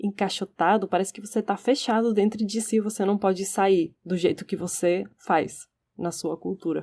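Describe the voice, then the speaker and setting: A woman talks in a dark, mellow tone at a moderate pace with fairly even intonation. The recording is very clean, with a silent background. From Spain, Barcelona. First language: Catalan or Spanish (speaking Portuguese). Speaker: podcast co-host. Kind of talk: casual discussion.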